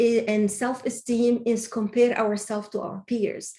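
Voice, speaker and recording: With a non-native accent, a woman speaks at a fairly slow pace and fairly high pitch. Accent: foreign. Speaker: webinar speaker. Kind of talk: Q&A answers in webinar. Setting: online webinar. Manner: halting, many false starts.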